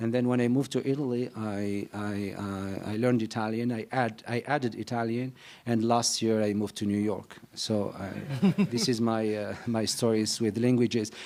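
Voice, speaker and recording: A dark, mellow tone in a North African accent, with fairly even intonation, a moderate pace and hardly any pauses. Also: man, medium pitch for a man. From Algeria (Algiers). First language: Berber. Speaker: novelist. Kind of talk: panel discussion. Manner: halting.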